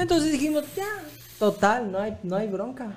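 A man talks with a Mexican accent. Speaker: podcast host. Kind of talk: casual chat.

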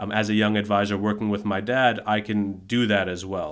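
A man has a normal speaking voice set at a fairly low pitch. He speaks at a fairly quick pace with fairly even intonation. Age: 30s. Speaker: financial planner. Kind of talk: casual chat.

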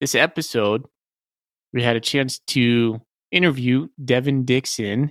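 With an American accent, a man at medium pitch speaks at a fairly slow pace with long, frequent pauses and ordinary pitch variation, recorded very cleanly against a silent background with a dry, close sound and no echo. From Washington state, US. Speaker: podcast co-host. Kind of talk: casual chat.

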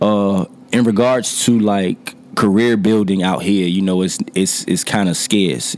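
A man with an American accent speaks at a fairly low pitch, his intonation fairly even. Music plays in the background. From Norfolk, Virginia. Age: 30s. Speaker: entrepreneur and recording artist. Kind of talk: casual interview.

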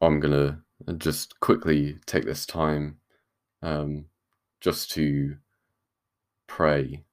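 Speaking very slowly with long, frequent pauses, a man with a British accent uses a very deep, low voice and a flat, monotone intonation. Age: 20s. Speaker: podcast host and university student. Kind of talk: solo religious podcast talk. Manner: hesitant, many fillers.

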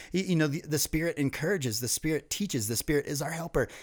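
With an American accent, a man with a fairly high pitch talks at a very fast pace. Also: very clean recording, silent background. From US East Coast. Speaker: ministry leader. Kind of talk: podcast interview.

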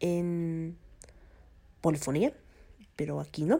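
Very slowly, a woman speaks at a fairly low pitch with a dark, mellow tone. The recording is very clean, with a silent background. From Mexico. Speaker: podcast host. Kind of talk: casual solo monologue. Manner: halting, many fillers.

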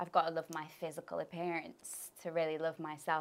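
With an English Midlands accent, a woman speaks at fairly low pitch in a bright, sharp tone, in a very clean recording with a silent background. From English Midlands (Birmingham, then Leicester). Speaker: spiritual coach. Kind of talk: interview.

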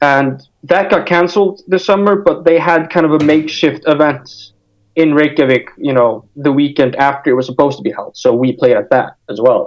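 This man has an American accent and an unremarkable speaking voice. He talks at a moderate pace with a fairly high pitch and ordinary pitch variation. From Iceland, also Denmark and the United States. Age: 20s. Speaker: hardcore punk musician. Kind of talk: casual interview chat.

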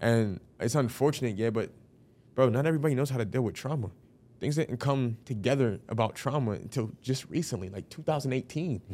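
A man's normal speaking voice with ordinary pitch variation, in a very clean recording with a silent background. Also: medium pitch for a man, fairly quick pace. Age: 20s. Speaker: podcast host. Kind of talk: casual chat.

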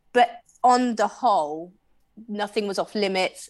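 A woman talks in a medium-pitched voice with a West Country accent. The background is quiet. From Bristol, England. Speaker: sex positive advocate. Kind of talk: casual interview chat.

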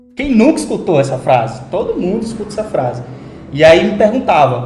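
Amid noticeable background noise and audible room echo, a man talks at a fairly quick pace with very wide pitch swings. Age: 20s. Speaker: pastor and psychologist. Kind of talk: casual chat.

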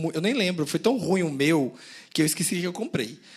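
Noticeable background noise sits under the recording. A man talks, his pitch varying in an ordinary way. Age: 30s. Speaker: podcast co-host. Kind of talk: live podcast recording. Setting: stage with audience.

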